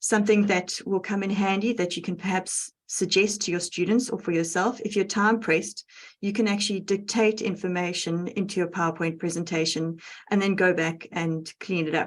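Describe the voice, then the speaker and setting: With a South African accent, a woman speaks at a moderate pace in a medium pitch and with fairly even intonation. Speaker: educational technologist. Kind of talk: tutorial.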